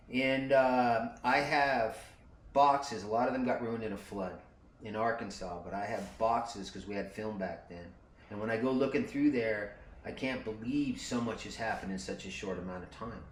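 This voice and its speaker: A medium-pitched male voice at a moderate pace, with ordinary pitch variation, big swings in loudness and audible room echo. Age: 60s. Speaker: motorcycle traveler and video maker. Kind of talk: casual conversation. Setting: motorcycle shop. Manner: relaxed.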